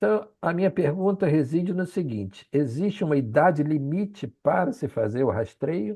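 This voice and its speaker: Speaking at a moderate pace with hardly any pauses, a man uses a fairly high pitch, very wide pitch swings and a dark, mellow tone. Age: 70s. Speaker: physician audience member asking a question. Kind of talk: audience question at a lecture.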